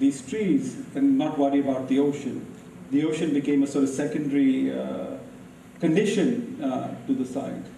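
A man with a fairly high pitch and ordinary pitch variation talks over noticeable background noise. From India. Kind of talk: lecture. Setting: stage with audience.

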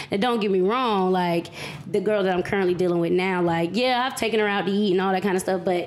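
Against noticeable background noise, a woman at a medium pitch speaks at a very fast pace with fairly even intonation and very even loudness. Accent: American. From US South, Raleigh, North Carolina. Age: 30s. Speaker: podcast guest. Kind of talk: casual chat.

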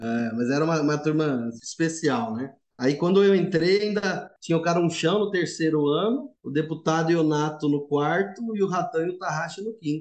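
In a plain, everyday voice, a man speaks at a moderate pace and a fairly high pitch, with ordinary pitch variation and hardly any pauses. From São Paulo city. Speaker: agronomist, former student house resident. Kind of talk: casual chat, storytelling.

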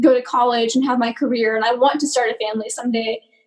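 Her pitch is high, and the woman speaks with an American accent. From US South, Georgia. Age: 20s. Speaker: mental health client. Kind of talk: testimony.

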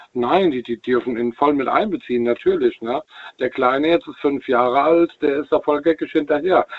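At a moderate pace, a man with an unremarkable speaking voice talks at a fairly high pitch with ordinary pitch variation. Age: 40s. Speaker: caller, truck driver. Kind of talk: phone-in call. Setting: phone call.

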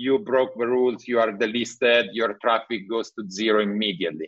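A man with an Italian accent at a medium pitch and moderate pace. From Italy (Milan). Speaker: tech entrepreneur. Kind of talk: interview. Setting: video call.

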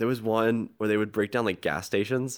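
On a very clean recording with a silent background, a man's speech moves at a fairly quick pace. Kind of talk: casual banter. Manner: sarcastic.

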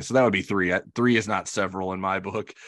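A man speaks over a quiet background. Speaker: podcast host. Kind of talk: interview and podcast discussion.

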